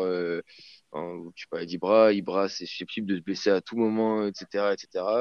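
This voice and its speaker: This man has an ordinary speaking voice, pitched fairly low and delivered at a moderate pace. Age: 20s. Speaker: football fan, podcast guest. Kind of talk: casual football debate.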